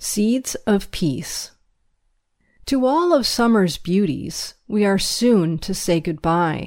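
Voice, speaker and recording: A woman with a medium-pitched voice speaks very slowly with lively intonation, on a very clean recording with a silent background. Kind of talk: reading aloud a 1957 school newsletter, including a poem.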